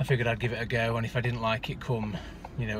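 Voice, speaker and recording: A man speaks in a dry sound with no echo. Light background noise is present. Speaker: vlogger driving. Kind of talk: casual vlog chat. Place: car. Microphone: phone near.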